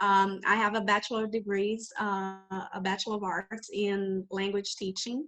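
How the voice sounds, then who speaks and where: Speaking with a Brazilian Portuguese accent, a woman holds a medium pitch and moderate pace with monotone, flat intonation. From Brazil, Rio de Janeiro. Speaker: English teacher trainer, entrepreneur. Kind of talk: interview. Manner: halting, with fillers.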